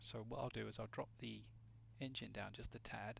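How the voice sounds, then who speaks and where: A man is speaking here. He is soft-spoken. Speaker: sim racing streamer. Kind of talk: casual chat. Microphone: too quiet on stream at first.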